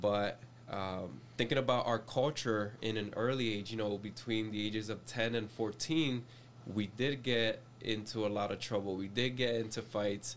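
Speaking with a Spanish accent, a man keeps a moderate pace and fairly even intonation. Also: medium pitch for a man. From Puerto Rico, raised in Reading, Pennsylvania from age seven. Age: 30s. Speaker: youth pastor. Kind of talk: casual chat.

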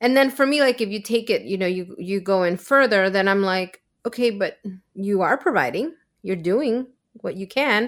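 Lively in intonation, a woman speaks at a moderate pace with a Spanish accent. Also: medium pitch for a woman. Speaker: podcast co-host on mental health. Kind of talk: casual chat.

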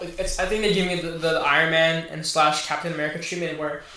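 A man speaks at a fairly quick pace with high pitch. Noticeable background noise and audible room echo come through. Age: 20s. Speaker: podcast guest. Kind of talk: casual chat.

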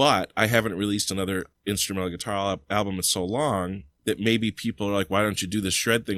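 Talking at a very fast pace, a man uses a fairly low voice with fairly even intonation. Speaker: guitarist and music teacher. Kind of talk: casual interview chat. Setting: remote call.

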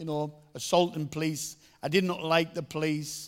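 Speaking at a fairly slow pace, a man uses a fairly high pitch and a Teesside accent. The recording is very clean, with a silent background. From northern England, Middlesbrough. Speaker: evangelist. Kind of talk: testimony.

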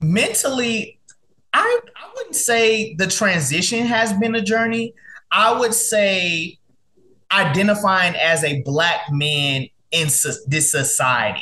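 In a raised, projected voice with a bright, sharp tone, the speaker uses an American accent, lively intonation, and a very slow pace. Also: man, high pitch for a man. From Dallas, Texas, US South. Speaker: tech entrepreneur. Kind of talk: interview conversation. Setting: video call.

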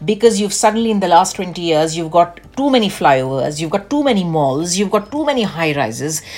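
A woman speaks at a fairly quick clip with hardly any pauses, her fairly low voice swinging very widely in pitch. Noticeable background noise sits behind her. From India, Delhi. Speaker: podcast co-host. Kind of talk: casual chat.

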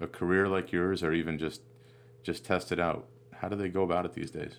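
In a very clean recording with a silent background, a man with an American accent speaks at a moderate pace in a very deep, low voice. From US Northeast, Vermont/New Hampshire. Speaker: podcast host. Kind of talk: casual interview chat. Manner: halting, many fillers.

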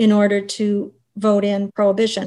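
A woman's fairly high, somewhat breathy voice in a dark, mellow tone, at a fairly slow pace. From western Prince Edward Island. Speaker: university dean, historian. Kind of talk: interview.

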